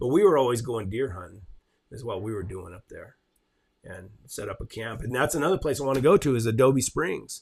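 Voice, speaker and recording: In an American accent, a somewhat breathy man talks at a fairly quick pace on a very clean recording with a silent background. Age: 60s. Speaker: channel host, horseman. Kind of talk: casual chat. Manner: halting.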